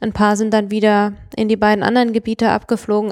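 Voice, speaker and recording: A woman with a fairly high voice speaks at a fairly quick pace, the sound dry and close with no echo. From Mannheim, Germany. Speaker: conservation project manager. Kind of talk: podcast interview.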